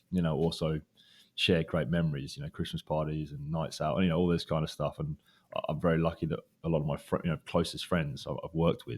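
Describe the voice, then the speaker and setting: Very fast and with a British accent, a man talks in a very deep, low pitch with vocal fry and fairly even intonation on a very clean recording with a silent background. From UK. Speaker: recruiter. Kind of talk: interview. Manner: hesitant, many fillers.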